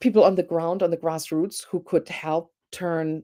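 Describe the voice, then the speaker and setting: A woman speaks in a German accent at a very deep, low pitch. Her tone is dark and mellow, her intonation fairly even. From Germany. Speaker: professor. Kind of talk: panel discussion. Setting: live online show.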